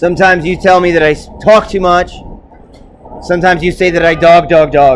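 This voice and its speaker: A loud, high-pitched man's voice against noticeable background noise. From New York, Puerto Rican background. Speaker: video blogger. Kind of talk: solo rant monologue. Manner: halting, repeats words.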